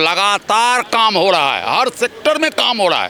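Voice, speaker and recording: Over crowd noise in the background, a man speaks in a raised, projected voice. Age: 60s. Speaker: interviewee in street public interview. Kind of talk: political street interview.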